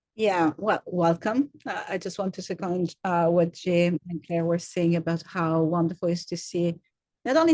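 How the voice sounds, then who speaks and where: A woman speaks with an Italian accent at a medium pitch. Her intonation is fairly even and her pace fairly quick. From Italy. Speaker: university program director. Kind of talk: welcome presentation. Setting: video call. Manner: hesitant, many fillers and repetitions.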